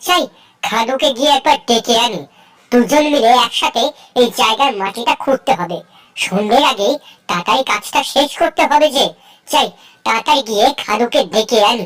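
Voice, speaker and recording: In a cartoonish character voice, a woman speaks at a high pitch and a moderate pace. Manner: chatty, lively.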